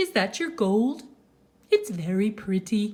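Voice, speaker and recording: A woman puts on a character voice, fairly high and fairly slow. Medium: read story. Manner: sweet, gentle.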